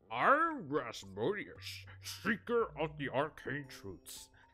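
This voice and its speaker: Over background music, a put-on character voice at low-to-middle pitch speaks at a very slow pace. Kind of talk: grand, theatrical. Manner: trying voice acting.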